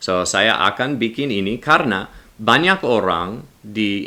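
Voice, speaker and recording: A man speaks at a fairly slow pace, his medium-pitched voice bright and sharp in tone. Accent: non-native. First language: English (speaking Indonesian). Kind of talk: religious commentary video. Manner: halting, non-fluent with self-corrections.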